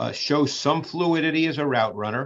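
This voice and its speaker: A man with a plain, everyday voice, at a moderate pace with ordinary pitch variation, in a quiet background. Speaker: football film analyst. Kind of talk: podcast clip analysis.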